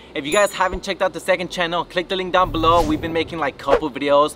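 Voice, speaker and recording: A raised, projected voice rushes along at a very fast pace over faint music in the background. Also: man. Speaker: vlogger. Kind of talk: casual vlog chat. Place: street.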